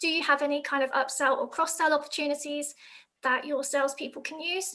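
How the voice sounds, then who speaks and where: A woman speaks in a raised, projected voice with a high pitch and a bright, sharp tone. Her intonation stays monotone and flat. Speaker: operations manager giving sales tips. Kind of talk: webinar presentation. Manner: fast.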